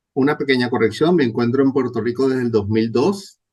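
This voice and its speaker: Speaking at a medium pitch with ordinary pitch variation, a man has a normal speaking voice. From Venezuela. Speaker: database administrator. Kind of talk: interview.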